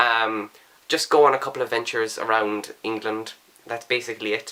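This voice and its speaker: With an Irish accent, a man speaks at a medium pitch and a fairly quick pace. His intonation is monotone and flat, and there is noticeable background noise. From Ireland. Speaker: book vlogger. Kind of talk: casual talk to camera.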